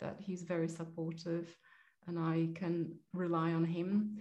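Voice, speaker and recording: A woman's fairly low, dark and mellow voice with a Polish accent, at a moderate pace with monotone, flat intonation. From Poland. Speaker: agricultural accountant. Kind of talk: interview. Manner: hesitant, many fillers.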